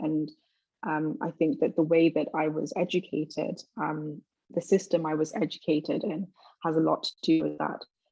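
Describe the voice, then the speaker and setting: A woman speaks at a moderate pace with a London accent, her pitch fairly low. Her tone is dark and mellow, with vocal fry. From London, England. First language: Twi. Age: 20s. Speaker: university student. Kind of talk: interview.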